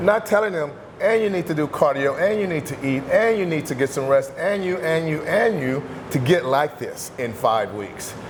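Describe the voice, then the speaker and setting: A man with a high pitch speaks at a moderate pace with lively intonation. The recording has audible room echo and noticeable background noise. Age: 60s. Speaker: bodybuilder and fitness coach. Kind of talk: interview. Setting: gym.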